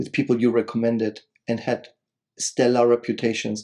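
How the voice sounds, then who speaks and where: A man's dark, mellow, medium-pitched voice with a non-native accent at a fairly quick pace. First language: not English. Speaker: spiritual podcast co-host. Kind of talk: casual chat.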